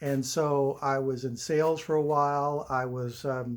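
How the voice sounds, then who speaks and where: In a very clean recording with a silent background, a man speaks in an unremarkable speaking voice, fairly high in pitch, with fairly even intonation. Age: 60s. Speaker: stained glass artist. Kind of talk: personal introduction monologue. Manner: casual, with frequent fillers.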